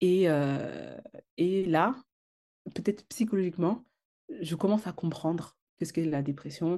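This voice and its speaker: The tone is dark and mellow, with ordinary pitch variation. Delivery is fairly slow, broken by long, frequent pauses. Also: woman, fairly low pitch for a woman. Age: 30s. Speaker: entrepreneur. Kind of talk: personal testimony. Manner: halting, many fillers.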